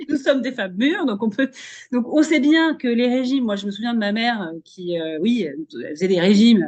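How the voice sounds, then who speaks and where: A woman speaks at a fairly quick pace, her fairly high pitch swinging very widely. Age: 40s. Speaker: podcast host and career coach. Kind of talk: casual interview chat.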